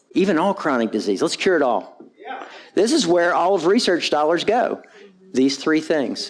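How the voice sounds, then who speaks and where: His tone animated, a man speaks with very wide pitch swings. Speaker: physician and keynote speaker. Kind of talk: conference talk. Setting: stage with audience. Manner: blunt, animated.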